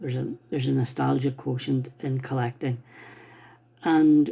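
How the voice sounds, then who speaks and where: A man with an Irish accent speaks at a fairly slow pace in a medium-pitched, somewhat breathy voice with a dark, mellow tone and fairly even intonation. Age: 60s. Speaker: stamp collector. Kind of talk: casual talk to camera. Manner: halting.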